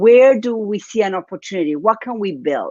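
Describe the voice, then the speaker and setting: A woman speaks with an Argentine accent. Her intonation is lively. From Argentina, Buenos Aires. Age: 40s. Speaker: business coach. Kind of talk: interview.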